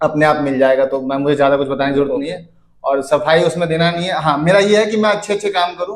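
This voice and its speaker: Fairly high-pitched, a man with an unremarkable speaking voice shows ordinary pitch variation. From Faridabad, Haryana, India. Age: 20s. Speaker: Bhojpuri singer and actor. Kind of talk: interview answer. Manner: casual, conversational.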